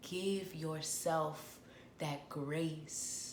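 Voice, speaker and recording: Somewhat breathy, a woman speaks with a very deep, low pitch and fairly even intonation. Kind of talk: guided healing talk to camera. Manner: soft, whispered, gentle.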